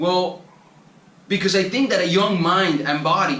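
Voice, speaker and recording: Amid audible room echo, a man with a Spanish accent talks at a fairly quick pace in a high pitch with ordinary pitch variation. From Colombia. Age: 20s. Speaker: travel vlogger. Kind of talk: motivational monologue.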